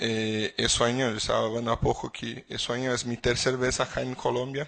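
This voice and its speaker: This man speaks in a Portuguese accent at a medium pitch. His pace is moderate and his intonation monotone and flat. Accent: Portuguese-accented Spanish (portuñol). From Brazil. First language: Portuguese (speaking Spanish). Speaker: legal expert speaker. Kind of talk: conference lecture. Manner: halting with repetitions.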